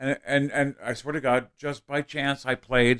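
At a medium pitch, a man talks in a flat, monotone intonation. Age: 30s. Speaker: comedian. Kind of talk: casual chat. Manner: halting.

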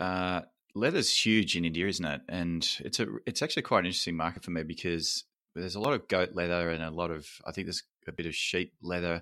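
A man with an Australian accent and a very deep, low pitch at a fairly quick pace, in a very clean recording with a silent background. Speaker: podcast host. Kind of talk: scripted narration; interview.

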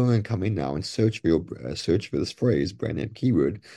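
Speaking at a fairly quick pace, a man uses a fairly low pitch with vocal fry. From outside the US. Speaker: e-commerce seller and TikTok expert. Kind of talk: interview. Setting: video call.

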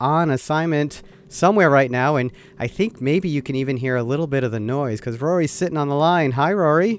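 Here a man with an ordinary speaking voice talks at a fairly quick pace, fairly high in pitch, with ordinary pitch variation. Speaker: podcast host. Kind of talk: casual interview. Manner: laughs often.

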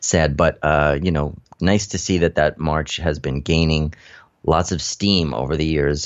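A man speaks at a moderate pace in a very deep, low voice with vocal fry. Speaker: cannabis radio host. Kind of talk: radio DJ patter, stoner-themed show intro and news rundown. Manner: upbeat, animated, playful.

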